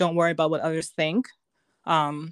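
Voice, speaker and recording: A woman uses a normal speaking voice at a fairly low pitch. She talks at a fairly quick pace on a very clean recording with a silent background. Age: 30s. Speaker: model. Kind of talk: casual interview chat.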